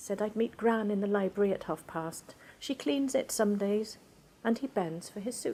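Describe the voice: This is plain reading aloud with ordinary pitch variation.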